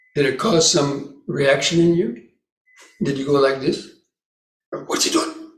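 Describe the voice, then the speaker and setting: A man speaks with fairly even intonation amid audible room echo. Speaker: Buddhist monk, meditation teacher. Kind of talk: dharma talk at meditation retreat.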